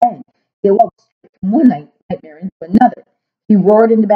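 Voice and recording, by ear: The background is quiet. The speaker reads aloud in a natural voice.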